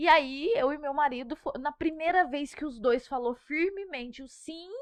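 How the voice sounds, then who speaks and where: Lively intonation at a fairly slow pace. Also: woman. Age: 30s. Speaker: pregnant mother, social media creator. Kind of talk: podcast interview.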